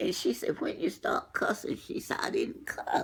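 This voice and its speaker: A woman whispers at a very slow pace. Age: 80s+. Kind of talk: casual interview answer.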